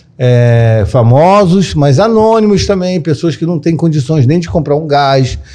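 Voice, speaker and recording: A man with a fairly high pitch and a dark, mellow tone speaks at a fairly slow pace. His intonation is lively, and there are hardly any pauses. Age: 50s. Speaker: therapist and podcast host. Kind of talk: casual interview chat.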